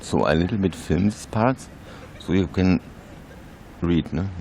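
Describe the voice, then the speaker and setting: His pitch is very deep and low, and the man speaks with ordinary pitch variation. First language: not English. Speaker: YouTuber. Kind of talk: reading aloud. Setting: outdoors. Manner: halting.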